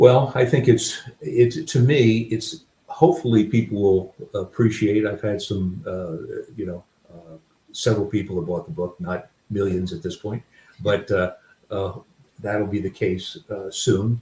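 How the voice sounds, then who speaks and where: Somewhat breathy and dark, mellow in tone, a man speaks at a fairly low pitch and fairly slow pace, with ordinary pitch variation and big swings in loudness. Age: 60s. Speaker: author. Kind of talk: interview. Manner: halting.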